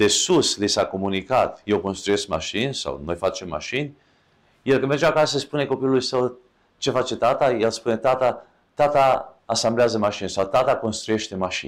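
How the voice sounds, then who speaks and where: In a very clean recording with a silent background, a man speaks at a moderate pace. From Romania. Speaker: podcast host. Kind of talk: solo talk. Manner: halting.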